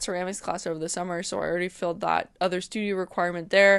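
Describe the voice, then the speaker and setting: A woman's mumbling at a fairly quick pace, medium in pitch, against a quiet background. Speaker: art student and vlogger. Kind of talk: casual vlog talk. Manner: loud.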